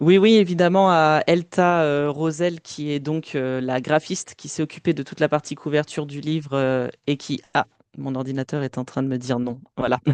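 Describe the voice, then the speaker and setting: Dry and close with no echo, a man's voice at a fairly high pitch moves at a moderate pace with ordinary pitch variation. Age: 20s. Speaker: author and playwright, theatre director. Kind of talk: podcast interview. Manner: hesitant, many fillers.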